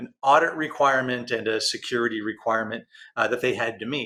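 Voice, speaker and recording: A man with a Texan accent, a bright, sharp tone and a fairly quick pace. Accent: Texan American. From Texas. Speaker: interview host. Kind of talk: interview. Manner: fast.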